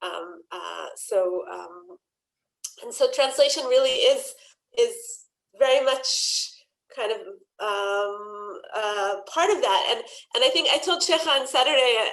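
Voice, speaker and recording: A woman with an Israeli accent speaks at a very slow pace, with long, frequent pauses and big swings in loudness. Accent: Hebrew intonation when she reads aloud. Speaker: poet and translator. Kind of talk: panel conversation. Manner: hesitant, many fillers.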